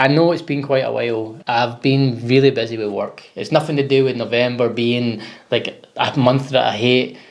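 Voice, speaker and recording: Against noticeable background noise, a man speaks with a Scottish accent. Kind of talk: casual talk to camera.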